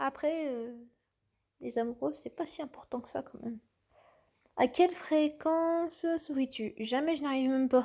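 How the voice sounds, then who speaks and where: This woman's fairly slow speech comes through in a very clean recording against a silent background. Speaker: youtuber. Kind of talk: casual quiz commentary. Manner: halting.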